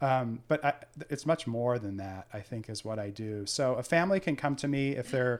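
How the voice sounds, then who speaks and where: A man talks at a fairly quick pace in an ordinary speaking voice with medium pitch. The recording is very clean, with a silent background. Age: 50s. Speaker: senior living placement adviser. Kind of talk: interview.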